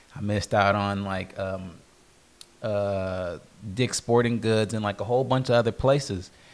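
A man talks in a plain, everyday voice at a fairly low pitch and moderate pace, with fairly even intonation. The recording is very clean, with a silent background. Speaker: sneaker podcast co-host and reseller. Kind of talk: casual chat. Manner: laughs often.

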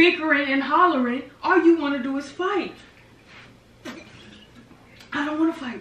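A woman with a high pitch and ordinary pitch variation talks at a moderate pace, her loudness swinging widely, with audible room echo. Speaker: prank video creator. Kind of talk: staged argument. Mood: defensive, pleading. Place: home room. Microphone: camera far.

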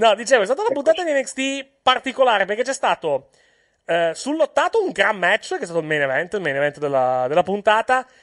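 Against a quiet background, a man with a high voice talks at a fairly quick pace with very wide pitch swings, the sound dry and close with no echo. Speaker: wrestling podcast host. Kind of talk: heated argument over wrestling booking. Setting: online recording, remote connection. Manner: talking over others, quick overlapping interjections.

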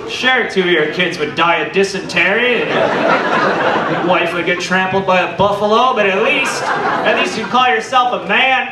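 Loud background noise surrounds a man speaking at a fairly slow pace. His pitch is high, with ordinary variation. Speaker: stand-up comedian. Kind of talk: stand-up comedy. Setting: stage with audience. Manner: animated, irreverent. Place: stage.

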